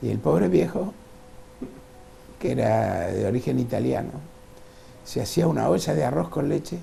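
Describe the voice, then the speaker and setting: Over music in the background, a man speaks at a moderate pace with very wide pitch swings and audible room echo. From Uruguay, Salto. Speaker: painter and former businessman. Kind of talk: interview. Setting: at home.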